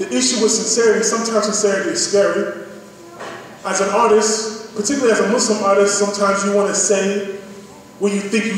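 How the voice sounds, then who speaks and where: Ordinary pitch variation and a fairly quick pace in an American accent, against noticeable background noise. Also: man. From United States. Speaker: poet. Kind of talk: audience Q&A answer. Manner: casual, conversational.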